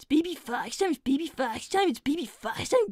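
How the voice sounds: The delivery moves at a fairly quick pace. Its intonation is lively.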